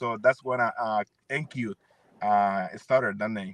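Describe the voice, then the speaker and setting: Speaking at a moderate pace in a Spanish accent, a man has a bright, sharp tone, recorded dry and close with no echo. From El Salvador, San Miguel. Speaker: singer and producer. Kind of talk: interview. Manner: halting.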